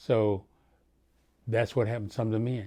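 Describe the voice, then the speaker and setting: Flat and monotone, a man speaks in a dark, mellow tone. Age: 70s. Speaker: elder telling his life story. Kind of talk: oral history recollection. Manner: halting.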